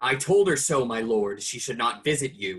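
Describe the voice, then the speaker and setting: A man's put-on character voice, medium in pitch, with lively intonation and a moderate pace. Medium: stage play.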